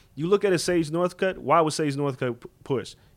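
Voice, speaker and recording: A man with a New York accent talks at a very fast pace and a fairly high pitch on a very clean recording with a silent background. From New York, Far Rockaway, Queens. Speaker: combat sports journalist. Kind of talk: casual chat. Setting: hotel room in Las Vegas.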